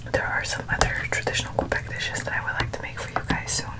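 A woman whispers in a soft-spoken way at a very fast pace over loud background noise. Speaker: food vlogger. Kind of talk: casual mukbang chat. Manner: soft close-mic ASMR whisper. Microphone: earbuds.

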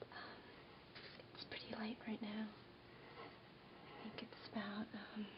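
A woman with an American accent is whispering. She goes at a very slow pace, with long, frequent pauses. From New York. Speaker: ASMR creator. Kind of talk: ASMR show-and-tell, casual talk to camera. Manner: whispered, soft-spoken, quiet.

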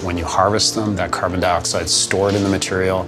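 Very deep, low male speech at a fairly quick pace, with clear music in the background. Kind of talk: interview answer. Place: office.

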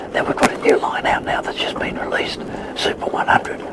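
A man talks at a moderate pace. Loud background noise surrounds him. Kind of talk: interview answer. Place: boat.

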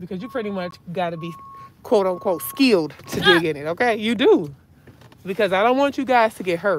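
Over light background noise, a woman talks at a fairly quick pace and medium pitch, her intonation lively and her loudness swinging widely, in a dry sound with no echo. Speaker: dumpster diving vlogger. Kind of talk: casual vlog narration. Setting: outdoors and in a car. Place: car. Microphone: phone near.

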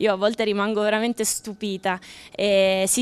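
A woman speaks with monotone, flat intonation. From Abruzzo, Italy. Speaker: former Olympic gymnast, coach; coach. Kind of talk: live TV interview. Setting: outdoors at sporting event. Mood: warm, smiling. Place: open country. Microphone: handheld.

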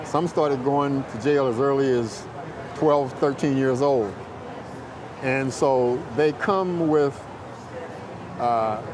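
With audible room echo and noticeable background noise, a man speaks at a medium pitch. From US South, rural North Carolina. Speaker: youth mentor and parole program coordinator. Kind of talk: interview.

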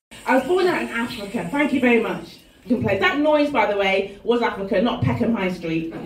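Audible room echo and light background noise are present. A woman talks at a fairly quick pace in a fairly high pitch. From English Midlands and Lincolnshire; English Midlands. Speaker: comedian. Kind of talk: stand-up. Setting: stage with audience. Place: stage.

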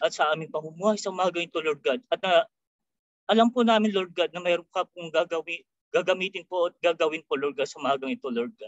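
A man talks at a very fast pace in a high pitch, with ordinary pitch variation and big swings in loudness. The sound is dry with no echo, over a quiet background. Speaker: prayer leader. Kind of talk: prayer. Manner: halting. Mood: reverent, earnest. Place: home room. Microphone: webcam.

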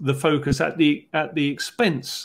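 A man's voice with vocal fry and ordinary pitch variation. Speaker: podcast host. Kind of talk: explanatory discussion. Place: home room. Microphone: earbuds.

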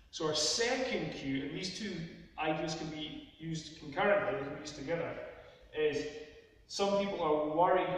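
Strong room echo surrounds a man talking at a moderate pace. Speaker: fitness coach. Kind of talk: tutorial. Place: gym.

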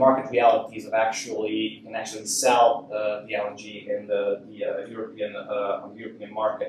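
A man with a Hungarian accent speaks at a moderate pace. Audible room echo and light background noise are present. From Hungary. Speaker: university lecturer. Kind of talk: lecture. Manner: halting. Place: hall.

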